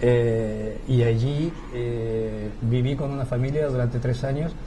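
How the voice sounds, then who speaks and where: Over noticeable background noise and audible room echo, a man speaks at medium pitch with monotone, flat intonation. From Chile. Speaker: theatre director. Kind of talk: interview. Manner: hesitant, many fillers.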